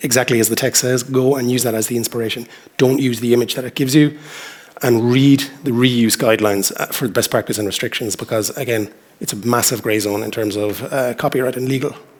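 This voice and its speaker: Noticeable background noise surrounds a man with a western Irish accent and a medium pitch. He talks at a very fast pace with fairly even intonation. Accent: Irish (west of Ireland). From Ireland, Galway (west coast). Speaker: journal editor. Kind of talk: conference talk. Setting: stage with audience. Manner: hesitant, with fillers and repetitions.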